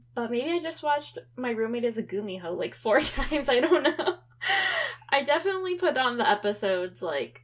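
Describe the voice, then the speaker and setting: Noticeable background noise sits behind a woman whose high voice swings very widely in pitch. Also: fairly quick pace. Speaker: podcast co-host. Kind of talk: casual chat. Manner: casual, halting with fillers.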